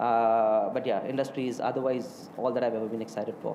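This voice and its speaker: Noticeable background noise and audible room echo surround a man who speaks at a fairly quick pace with an Indian accent. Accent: sounds Indian. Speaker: hotelier. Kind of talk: interview. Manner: hesitant, many fillers.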